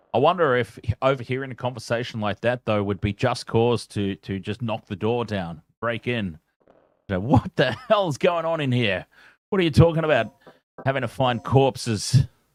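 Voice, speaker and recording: A man's voice sits at a medium pitch, moving at a moderate pace with lively intonation. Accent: Australian. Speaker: gaming streamer. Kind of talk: live gameplay commentary. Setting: at home. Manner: loud; casual.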